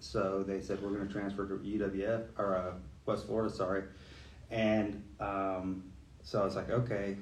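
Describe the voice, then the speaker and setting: This man's voice is fairly low in pitch and somewhat breathy. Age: 40s. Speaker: police lieutenant. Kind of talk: casual chat.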